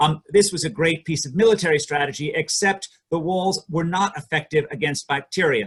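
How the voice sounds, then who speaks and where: A man's fairly high voice at a fairly quick pace, with ordinary pitch variation and hardly any pauses. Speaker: economics professor presenting research. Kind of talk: academic conference presentation. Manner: hesitant, many fillers.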